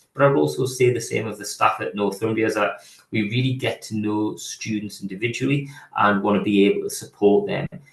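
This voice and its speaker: A man talks at a fairly quick pace, his pitch medium. His voice is somewhat breathy. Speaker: physiotherapy programme leader. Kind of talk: online presentation. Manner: hesitant, many fillers and repetitions.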